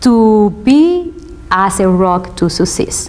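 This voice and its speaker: Noticeable background noise sits under this recording. A woman speaks in a Spanish accent at a fairly high pitch. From Spanish-speaking country, immigrant. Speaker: law student. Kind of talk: interview testimony. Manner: hesitant, many fillers.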